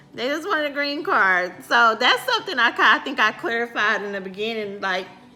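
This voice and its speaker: The speaker has an American accent and very wide pitch swings. The pace is fairly quick, with noticeable background noise. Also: woman, fairly high pitch for a woman. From United States. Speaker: channel co-host. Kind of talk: casual chat.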